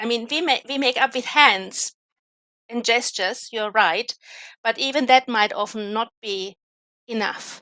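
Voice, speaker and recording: A woman with a non-native accent speaks at a fairly slow pace, leaving long, frequent pauses. Her fairly high voice has a bright, sharp tone and ordinary pitch variation, recorded dry and close with no echo. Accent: noticeable non-native. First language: not English. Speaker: academic expert in languages. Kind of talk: live online panel discussion.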